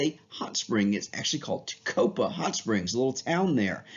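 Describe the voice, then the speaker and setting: In an enthusiastic tone, a man speaks at a fairly quick pace with very wide pitch swings. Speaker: teacher. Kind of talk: lecture. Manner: fast; casual, enthusiastic.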